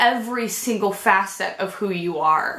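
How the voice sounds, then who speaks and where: Audible room echo and noticeable background noise around a woman talking at a fairly slow pace. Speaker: vlogger. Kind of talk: personal vlog talk to camera.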